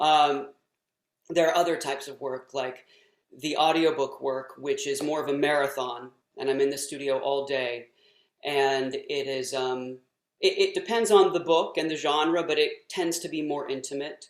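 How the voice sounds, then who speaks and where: In a plain, everyday voice, a man talks at a moderate pace with a fairly high pitch. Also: fairly even intonation. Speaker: voice actor. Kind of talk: interview answer.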